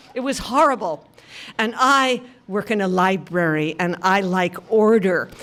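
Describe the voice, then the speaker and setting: A woman with a medium-pitched voice speaks very slowly and with lively intonation amid noticeable background noise. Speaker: storyteller. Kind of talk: live storytelling performance. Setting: live stage before an audience.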